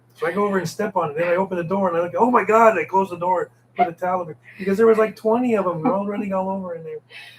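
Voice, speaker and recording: Speech comes at a very fast pace with fairly even intonation over noticeable background noise. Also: man, high pitch for a man. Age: 70s. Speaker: expat co-host. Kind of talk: casual live stream chat. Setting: live stream with partner.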